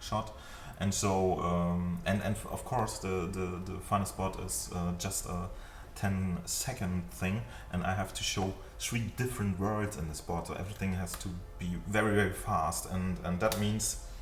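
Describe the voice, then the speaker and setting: A man with a non-native accent speaks at a very deep, low pitch and a fairly slow pace, with ordinary pitch variation. Light background noise and audible room echo are present. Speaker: 3D animation tutor. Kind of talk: tutorial. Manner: halting, many fillers. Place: home room. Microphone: webcam.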